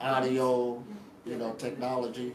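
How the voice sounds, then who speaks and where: The man's medium-pitched voice comes with audible room echo and noticeable background noise. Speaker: spiritual teacher. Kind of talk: lecture. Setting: live workshop with interpreters. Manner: casual.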